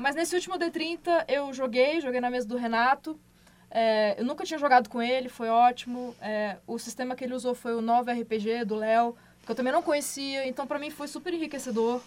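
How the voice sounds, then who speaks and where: Pitch varies in an ordinary way. The pace stays moderate. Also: woman, high pitch for a woman. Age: 30s. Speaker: podcast host. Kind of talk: casual chat.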